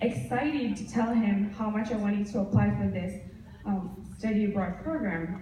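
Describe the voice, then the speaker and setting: Amid noticeable background noise and audible room echo, a woman speaks at a moderate pace with medium pitch and ordinary pitch variation. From Madagascar. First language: Malagasy. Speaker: university student. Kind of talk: speech. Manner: halting.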